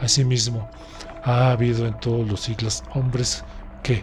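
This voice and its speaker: A man talks fairly slowly as music plays in the background. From Mexico. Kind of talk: audiobook narration.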